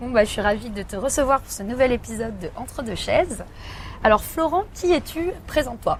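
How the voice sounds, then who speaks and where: A woman's high voice at a moderate pace, with very wide pitch swings, big swings in loudness and noticeable background noise. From Paris, France. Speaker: podcast host. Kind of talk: scripted intro then interview. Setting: outdoor café terrace.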